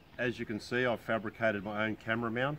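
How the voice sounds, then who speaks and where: A man at a moderate pace, fairly even in intonation, over light background noise. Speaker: motorcycle rider reviewing gear. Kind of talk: product review talk. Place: forest.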